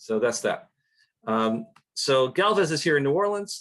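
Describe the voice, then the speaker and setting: A man with a Western New York accent and a medium pitch. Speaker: historian. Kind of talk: lecture. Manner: casual, with fillers.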